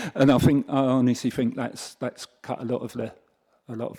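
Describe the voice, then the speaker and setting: With a dark, mellow tone, a man talks at a fairly quick pace in a monotone, flat intonation, the sound dry and close with no echo. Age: 70s. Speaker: councillor. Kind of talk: committee meeting questioning. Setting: council committee meeting.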